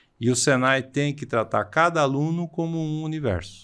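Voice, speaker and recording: A man against a quiet background. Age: 60s. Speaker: vocational education professor. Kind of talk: podcast interview. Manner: halting, frequent hesitations.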